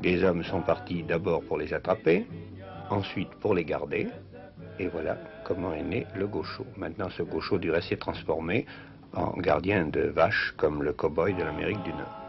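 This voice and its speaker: Music can be heard behind the speech. The man keeps a moderate pace. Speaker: travel reporter. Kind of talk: TV travel documentary commentary. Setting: 1950s television studio voice-over. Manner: conversational, explanatory.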